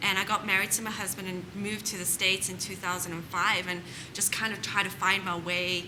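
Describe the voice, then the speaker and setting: A woman at a medium pitch talks fairly quickly in a flat monotone, with noticeable background noise and audible room echo. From South Africa. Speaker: home staging business owner. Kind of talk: interview answer.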